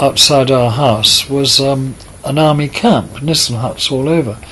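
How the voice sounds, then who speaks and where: The pace is fairly slow. Noticeable background noise runs underneath. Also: man. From southern England, Kent (Tunbridge Wells). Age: 80s+. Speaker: author. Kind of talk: interview. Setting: in person in London.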